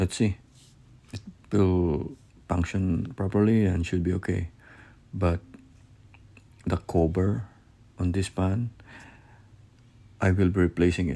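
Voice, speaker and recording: The voice has a dark, mellow tone and fairly even intonation, with a non-native accent. Long, frequent pauses break up the speech. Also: man, very deep, low pitch for a man, fairly slow pace. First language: not English. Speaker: hobbyist crypto miner YouTuber. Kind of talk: unboxing video. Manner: halting, self-correcting.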